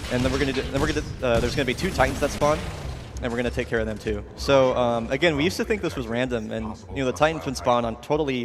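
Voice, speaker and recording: Very fast speech over noticeable background noise. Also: man. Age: 20s. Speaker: speedrun commentator. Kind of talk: live commentary.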